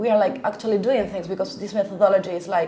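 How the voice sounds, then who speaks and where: A woman with a Spanish accent speaks at a fairly high pitch for a woman. Noticeable background noise and audible room echo are present. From Argentina. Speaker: language teacher. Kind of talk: interview. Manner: hesitant, many fillers; enthusiastic.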